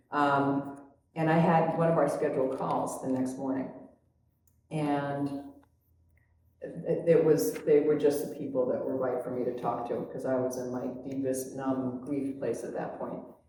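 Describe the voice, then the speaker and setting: A very deep, low female voice, monotone and flat, at a fairly slow pace with audible room echo. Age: 70s. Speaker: spiritual group facilitator. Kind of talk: personal sharing in group conversation. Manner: halting, many fillers.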